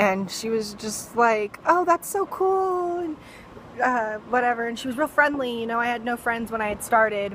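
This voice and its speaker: With an American accent and lively intonation, a woman speaks at a moderate pace over noticeable background noise. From US West (Fresno, California). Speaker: vlogger. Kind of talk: personal storytelling. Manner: casual, many fillers.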